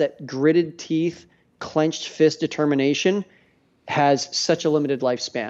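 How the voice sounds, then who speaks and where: A man with a Canadian accent has a plain, everyday voice. His pitch is fairly high, his intonation fairly even, and his pace moderate. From Canada, Edmonton area. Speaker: business coach for delegation and assistants. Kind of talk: podcast interview.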